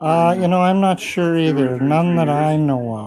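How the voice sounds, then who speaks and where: With a Canadian prairie accent, a man speaks at a fairly high pitch with ordinary pitch variation, over audible room echo and noticeable background noise. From Saskatchewan, Canada (rural small town). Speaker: amateur local musician. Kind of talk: casual interview. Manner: halting, many hesitations.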